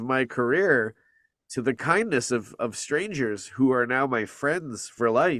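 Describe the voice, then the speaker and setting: A man speaks in an unremarkable speaking voice, medium in pitch with ordinary pitch variation. His fairly slow delivery is captured on a very clean recording with a silent background. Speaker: voice actor. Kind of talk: interview answer.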